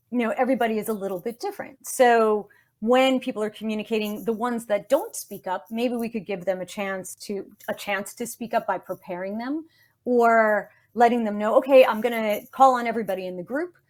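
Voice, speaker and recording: A woman with a New York accent, fairly high-pitched and fairly quick, animated in tone, with ordinary pitch variation, on a very clean recording with a silent background. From New York City. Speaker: communication expert, speech-language pathologist. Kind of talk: interview. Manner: fast.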